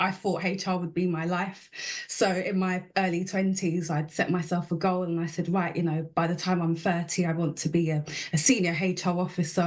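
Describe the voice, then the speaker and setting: Here a woman speaks in a London accent at a fairly low pitch. Her intonation is monotone and flat, and her pace is moderate. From East London. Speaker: property investment business owner. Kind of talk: interview.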